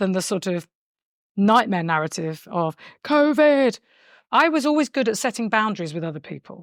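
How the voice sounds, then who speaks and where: A woman with a British accent, medium in pitch, with very wide pitch swings and long, frequent pauses, in a very clean, dry, close recording with a silent background and no echo. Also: moderate pace. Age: 60s. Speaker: long covid patient. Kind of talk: personal testimony.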